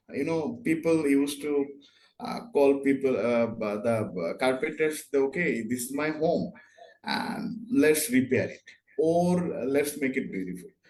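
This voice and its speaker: A man's fairly high voice in a Bengali accent, fairly slow in pace, with very wide pitch swings. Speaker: interior design consultant. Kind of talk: interview. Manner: halting.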